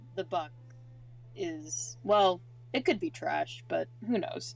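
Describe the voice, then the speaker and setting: A man uses a put-on character voice. He speaks at a very slow pace with clear background noise. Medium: actual play. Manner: casual, dismissive.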